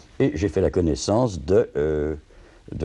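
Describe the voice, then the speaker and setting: A man speaks fairly slowly in a very deep, low voice with a dark, mellow tone and vocal fry. His pitch swings very widely over a quiet background. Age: old. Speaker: retired theatre administrator, former activist. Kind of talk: interview testimony. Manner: halting.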